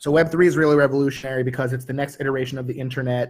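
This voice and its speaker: Here a man sounds somewhat breathy. His pitch is medium and his intonation fairly even. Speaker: panelist. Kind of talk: panel talk. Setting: virtual metaverse event.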